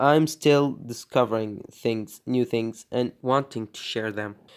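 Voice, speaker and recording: In a very clean recording with a silent background, a man with a non-native accent speaks at a fairly slow pace with ordinary pitch variation. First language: not English. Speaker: animation tutorial creator. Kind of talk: tutorial. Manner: halting, many fillers.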